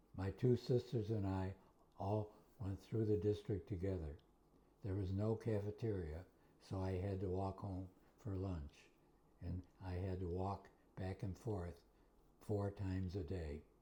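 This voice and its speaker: In a very deep, low voice with a dark, mellow tone, a man speaks somewhat breathily at a fairly slow pace, his intonation fairly even and his pauses long and frequent. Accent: American. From Western New York (Buffalo, Kenmore). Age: 80s+. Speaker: retired math teacher. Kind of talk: interview.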